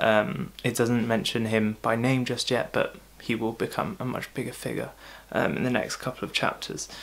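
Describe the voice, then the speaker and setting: The speaker is soft-spoken. The pace is moderate. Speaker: bible teacher. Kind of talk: bible devotional talk. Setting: recording at home, late at night.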